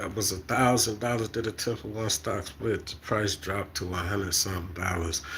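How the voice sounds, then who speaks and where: A man is talking. There's a somewhat breathy quality to his voice. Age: 50s. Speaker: stock market vlogger. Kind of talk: casual monologue.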